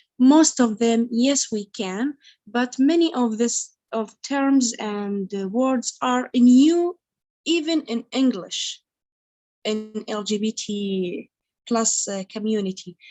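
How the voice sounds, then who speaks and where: In an Iraqi accent, a woman speaks at a very slow pace with a fairly high pitch. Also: ordinary pitch variation. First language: Arabic. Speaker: dental hygienist and activist. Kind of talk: panel discussion. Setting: video call, camera off. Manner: halting, hesitant.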